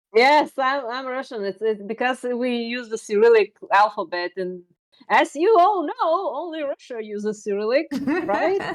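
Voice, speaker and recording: The speaker has a Bulgarian accent, a moderate pace and very wide pitch swings. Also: woman, high pitch for a woman. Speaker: streamer and artist. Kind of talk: casual chat. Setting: live stream.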